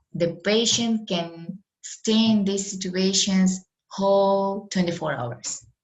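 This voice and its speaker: At a very slow pace, a woman speaks in a non-native accent with ordinary pitch variation. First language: Russian. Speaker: medical lecturer. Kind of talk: online lecture. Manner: halting.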